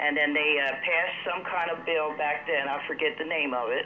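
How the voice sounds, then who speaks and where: Noticeable noise is present in the background. Delivery comes at a moderate speed. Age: 60s. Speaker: TV show caller. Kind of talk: call-in comment. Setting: phone call.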